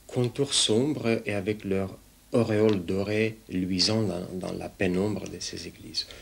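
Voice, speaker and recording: A man's fairly low voice with a Russian accent and fairly even intonation. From Romania. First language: Russian (speaking French). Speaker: sculptor and painter. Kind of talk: interview monologue about his art. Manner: hesitant, many fillers.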